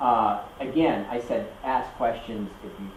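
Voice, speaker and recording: A man at medium pitch speaks with an American accent, with noticeable background noise and audible room echo. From US, Kentucky. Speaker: university lecturer. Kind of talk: lecture. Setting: classroom. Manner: halting, many fillers.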